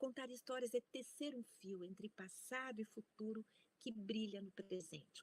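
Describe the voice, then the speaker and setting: The recording is dry and close, with no echo. A woman speaks somewhat breathily at a moderate pace, with ordinary pitch variation. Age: 60s. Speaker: professor. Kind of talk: lecture.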